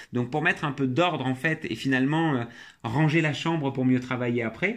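At a fairly quick pace, a man with an ordinary speaking voice talks at a medium pitch with fairly even intonation. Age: 30s. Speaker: tech company CEO. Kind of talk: interview.

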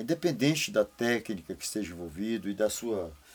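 At a moderate pace, a man speaks in a medium-pitched voice. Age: 60s. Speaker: retired businessman. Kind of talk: interview. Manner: animated.

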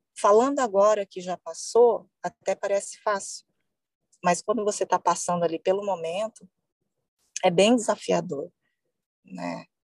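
Using long, frequent pauses at a fairly slow pace, a woman with a medium pitch and ordinary pitch variation is heard in a dry, close sound with no echo. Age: 40s. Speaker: breast cancer survivor. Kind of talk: testimony.

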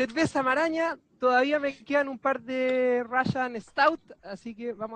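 Speaking at a fairly slow pace with ordinary pitch variation, a man talks in a Chilean accent. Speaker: podcast host. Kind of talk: casual chat.

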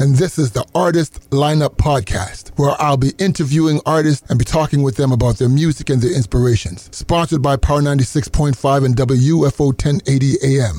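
A man with a fairly high pitch talks at a moderate pace with hardly any pauses, ordinary pitch variation and very even loudness, the sound dry and close with no echo but with noticeable background noise. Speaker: podcast host. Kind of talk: casual interview.

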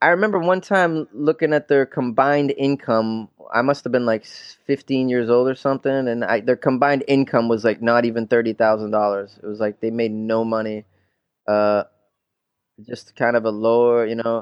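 A man's unremarkable speaking voice with an American accent, medium in pitch, ordinary in pitch variation, at a moderate pace. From Massachusetts, near Boston. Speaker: stand-up comedian and actor. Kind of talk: casual interview chat. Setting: remote call.

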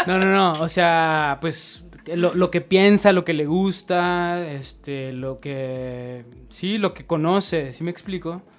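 A man's high voice at a very slow pace, with big swings in loudness. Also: ordinary pitch variation. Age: 30s. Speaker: photographer and DJ. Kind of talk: casual chat.

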